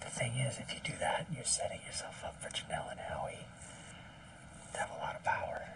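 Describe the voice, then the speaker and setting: Whispering, a man speaks at a fairly quick pace but leaves long, frequent pauses. Audible room echo and noticeable background noise surround him. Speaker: reality TV contestant. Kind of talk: casual strategy conversation.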